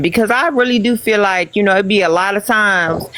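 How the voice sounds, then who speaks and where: A woman speaks with an American accent at a fairly quick pace. There is noticeable background noise. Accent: own natural accent, others call it fake. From Missouri. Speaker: live-stream panel participant. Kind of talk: casual live-stream chat.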